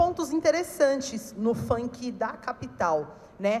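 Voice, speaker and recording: A woman talks with lively intonation. Her voice is pitched high. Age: 30s. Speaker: funk cultural organizer, panelist. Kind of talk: panel talk.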